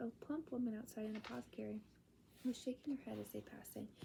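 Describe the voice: The clip is plain reading aloud.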